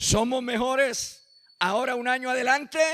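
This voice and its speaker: A man speaks in a raised, projected voice with an extremely high pitch and a bright, sharp tone. His delivery is animated and fairly slow. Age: 50s. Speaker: pastor. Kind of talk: sermon.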